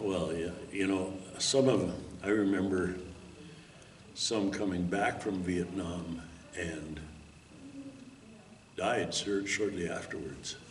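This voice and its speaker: Over noticeable background noise and audible room echo, a man with an Upper Midwest US accent and a very deep, low pitch speaks very slowly, with long, frequent pauses. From Minnesota. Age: 70s. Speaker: war veteran. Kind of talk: interview testimony. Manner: halting.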